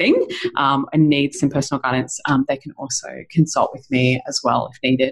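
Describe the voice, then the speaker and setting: In an Australian accent, a woman with a very deep, low pitch speaks at a moderate pace. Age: 40s. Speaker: chiropractor and women's health specialist. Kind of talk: interview.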